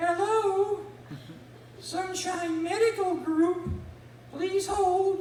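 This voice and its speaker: An extremely high-pitched put-on character voice at a very slow pace, with slight echo and light background noise. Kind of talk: professional.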